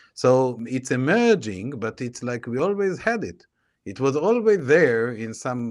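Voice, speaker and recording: With an Israeli accent, a man speaks at a fairly slow pace and medium pitch, his voice making very wide pitch swings. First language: Hebrew. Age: 40s. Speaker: tech entrepreneur. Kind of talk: interview. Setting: video call. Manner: halting.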